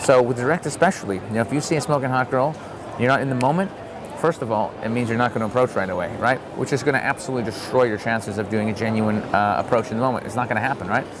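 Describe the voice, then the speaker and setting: Amid noticeable background noise, a man speaks at a very fast pace with a medium pitch and ordinary pitch variation. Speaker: dating advice vlogger. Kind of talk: casual vlog monologue. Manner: animated.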